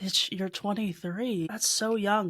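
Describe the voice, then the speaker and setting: A woman talks at a moderate pace. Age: 30s. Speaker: podcast host. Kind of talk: reading aloud with commentary; casual chat. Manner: animated.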